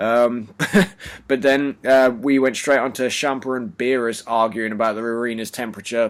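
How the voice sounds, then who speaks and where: Quiet and at a moderate pace, a man speaks in a monotone, flat intonation. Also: medium pitch for a man. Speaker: anime review youtuber. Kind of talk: casual review chat. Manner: keeping voice quiet.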